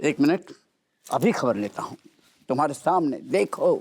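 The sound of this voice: A man uses a put-on character voice, fairly high in pitch, with a slightly mellow tone and a slightly husky edge. He moves at a fairly slow pace with lively intonation.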